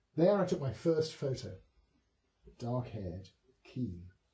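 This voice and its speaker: A man with a southern English accent, fairly slow and somewhat breathy, medium in pitch, dark and mellow in tone, with very wide pitch swings. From south-east England. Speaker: poet. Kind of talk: poetry reading. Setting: historic house with small audience. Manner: soft-spoken.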